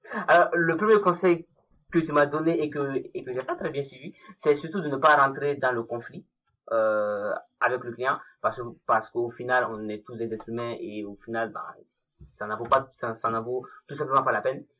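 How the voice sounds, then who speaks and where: A man with a normal speaking voice talks at a moderate pace at medium pitch, with ordinary pitch variation and big swings in loudness. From Mali. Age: 20s. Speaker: freelance mobile developer. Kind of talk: casual interview.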